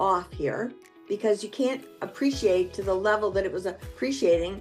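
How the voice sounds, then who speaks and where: Music plays in the background as a woman speaks at a moderate pace. Her pitch is medium and her intonation lively. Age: 70s. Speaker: real estate agent. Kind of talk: interview answer.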